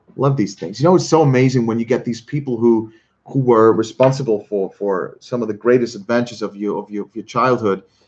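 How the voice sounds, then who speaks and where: A man with a medium pitch speaks fairly quickly, varying his pitch in an ordinary way. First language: not English. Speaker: streamer. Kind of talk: live stream chat. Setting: live stream. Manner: halting, repeats words.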